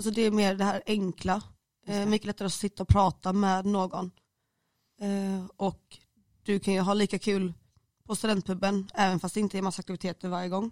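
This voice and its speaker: Recorded with a dry, close sound and no echo, a woman speaks at medium pitch in a flat, monotone way. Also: fairly quick pace. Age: 20s. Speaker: student. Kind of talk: casual chat. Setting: studio.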